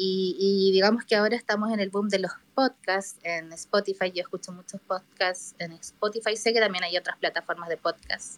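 Dry and close with no echo, a woman with a plain, everyday voice speaks at a medium pitch and moderate pace with hardly any pauses. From Chile. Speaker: listener participant in live audio room. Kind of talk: casual discussion.

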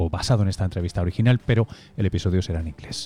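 In a Spanish accent, a man talks very fast with a very deep, low, somewhat breathy voice and a dark, mellow tone. The sound is dry and close with no echo. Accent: Spanish (Spain). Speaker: podcast host and science journalist. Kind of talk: scripted narration; interview.

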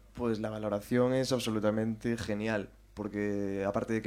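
Monotone and flat, a man talks at a medium pitch and a moderate pace. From Galicia, Spain (Carballiño, Ourense). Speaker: drummer in a synthpop band. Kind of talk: casual interview chat. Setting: live show with audience in a café.

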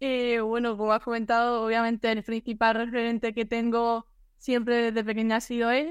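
At a moderate pace, a woman talks in a fairly high, flat monotone with very even loudness. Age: 20s. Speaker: sports photographer. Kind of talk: interview.

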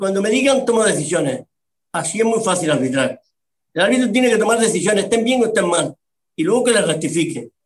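A man's very fast speech at a high pitch, with lively intonation. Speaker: retired football referee and media pundit. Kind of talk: casual interview.

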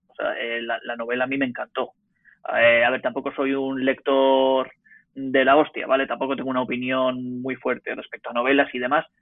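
A man at medium pitch and moderate pace, monotone and flat in intonation, with big swings in loudness. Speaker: podcast guest. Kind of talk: casual chat.

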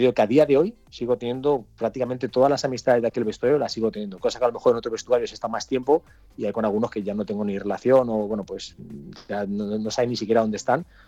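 A medium-pitched man rattles along at a very fast pace, keeping his intonation fairly even. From Catalonia, Spain (Cerdanyola del Vallès). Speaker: retired footballer. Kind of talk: interview. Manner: halting, many repetitions.

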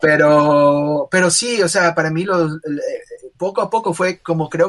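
A high-pitched man at a moderate pace. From Ecuador, Guayaquil. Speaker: illustrator and animator. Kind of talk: casual interview. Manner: halting, many fillers and repetitions.

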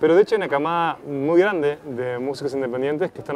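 A fairly high-pitched man with a Rioplatense accent talks at a very fast pace with ordinary pitch variation. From Uruguay, Montevideo. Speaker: podcast host, interviewer. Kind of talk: interview.

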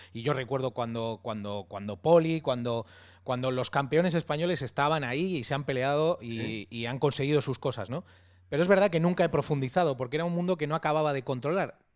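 Heard on a very clean recording with a silent background, a man speaks at a fairly high pitch with ordinary pitch variation. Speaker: podcast host. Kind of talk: casual interview. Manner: halting, many repetitions.

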